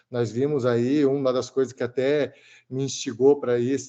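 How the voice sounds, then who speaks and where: A man talks in a dark, mellow tone at a medium pitch. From Brazil, São Paulo state. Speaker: theology student. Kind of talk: thesis defense reply. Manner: fast; halting.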